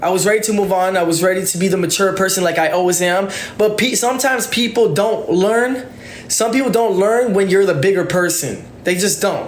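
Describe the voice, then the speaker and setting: A man speaks at a fairly quick pace in a high pitch with ordinary pitch variation. Noticeable background noise and audible room echo are present. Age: 20s. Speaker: TikTok livestreamer. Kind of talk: live stream rant. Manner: stuttering; halting.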